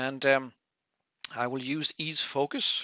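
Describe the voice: A man speaks slowly in a bright, sharp tone. The sound is dry and close, with no echo.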